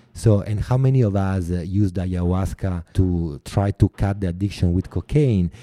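On a very clean recording with a silent background, a man with an Italian accent speaks in a very deep, low, dark and mellow voice with hardly any pauses. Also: ordinary pitch variation, moderate pace, dry, close sound with no echo. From Italy. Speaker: artist and filmmaker. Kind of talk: interview. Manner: halting.

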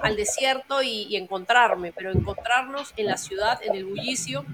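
Noticeable background noise runs under the voice. The speaker talks at a moderate pace. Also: woman. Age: 40s. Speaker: life coach. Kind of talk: interview. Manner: hesitant, many fillers.

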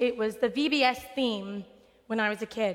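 A woman with a high-pitched voice speaks in an American accent. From West Texas. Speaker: preacher. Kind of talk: sermon. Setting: church sanctuary with congregation.

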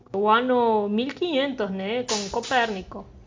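Here a woman speaks with a Spanish accent. Her pitch sits fairly high. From southern Argentina. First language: Spanish (speaking Portuguese). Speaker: science podcast co-host. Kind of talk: casual educational chat.

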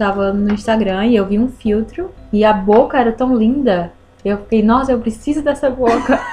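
A woman speaks at a moderate pace in a fairly high voice with ordinary pitch variation. Noticeable background noise runs behind her. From Brazil, Ceará (Northeast). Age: 20s. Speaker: podcast guest. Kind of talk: casual chat. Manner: halting.

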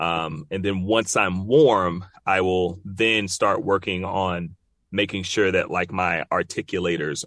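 An American accent with ordinary pitch variation against a quiet background. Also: man. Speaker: voice actor. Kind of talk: interview. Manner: casual, laid-back.

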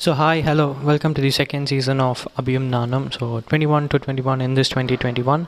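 A man with a Tamil accent talks at a moderate pace in a medium pitch, his intonation monotone and flat, with hardly any pauses and noticeable background noise behind him. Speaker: podcast host. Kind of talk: casual personal monologue. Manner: hesitant, many fillers.

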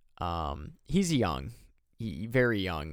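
A man with an American accent speaks at a fairly slow pace in a fairly low pitch. The recording is very clean, with a silent background. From Michigan, US Midwest. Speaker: hockey podcast host. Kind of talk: casual solo commentary. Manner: hesitant, many fillers.

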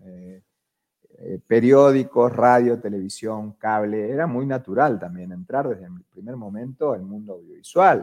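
With an Argentine accent, a man speaks at a fairly slow pace and medium pitch, with ordinary pitch variation and big swings in loudness. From Argentina. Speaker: media executive. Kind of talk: interview conversation. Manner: animated.

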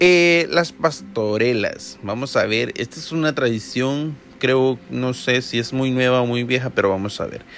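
A man's unremarkable speaking voice at medium pitch, fairly slow and with hardly any pauses, ordinary in pitch variation. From El Salvador. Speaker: podcast host. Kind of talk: casual monologue.

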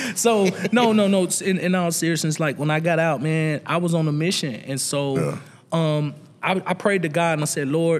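An animated man with a Southern US accent, fairly high pitch, ordinary pitch variation and a moderate pace. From US South. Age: 40s. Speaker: entrepreneur. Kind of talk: casual chat. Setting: studio.

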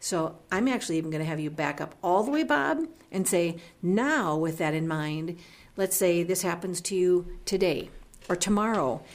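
A woman with a normal speaking voice talks at a moderate pace, fairly low in pitch with ordinary pitch variation. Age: 50s. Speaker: radio co-host, senior living representative. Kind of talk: radio interview.

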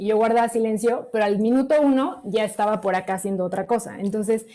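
A woman with a normal speaking voice, fairly high pitch, ordinary pitch variation, and a fairly quick pace. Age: 30s. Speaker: medical doctor. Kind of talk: testimony.

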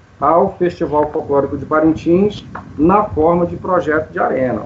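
Noticeable background noise is audible as a man talks fairly slowly with lively intonation. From Brazil, Manaus (Amazonas). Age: 50s. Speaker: composer and science teacher. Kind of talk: interview.

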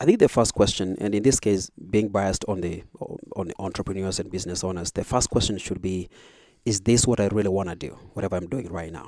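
A man's fairly low, dark, mellow voice at a very fast pace, with fairly even intonation, in a very clean recording with a silent background. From Kenya, rural village. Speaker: business coach. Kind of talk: interview.

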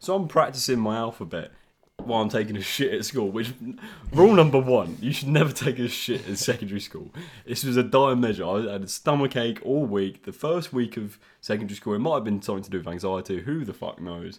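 A man with a southern English accent talks at a very fast pace. His intonation is lively. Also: medium pitch for a man. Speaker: podcast host. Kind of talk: casual chat.

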